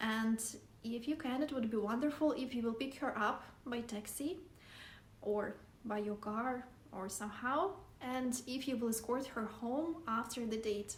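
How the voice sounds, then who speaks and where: Audible room echo surrounds a woman with a Russian accent who speaks fairly slowly at a fairly high pitch with ordinary pitch variation. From Siberia, Russia. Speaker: vlogger. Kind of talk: casual vlog talk to camera.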